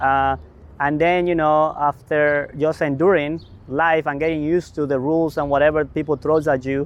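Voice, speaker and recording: A man with a Mexican accent talks at a moderate pace in a fairly high pitch, his intonation monotone and flat. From Mexico. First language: Spanish. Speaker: community development leader. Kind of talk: interview. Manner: halting.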